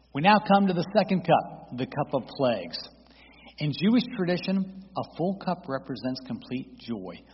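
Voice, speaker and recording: A man with an American accent and an unremarkable speaking voice, at a moderate pace with lively intonation. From Florida (St. Petersburg). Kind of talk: testimony and teaching presentation. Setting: church.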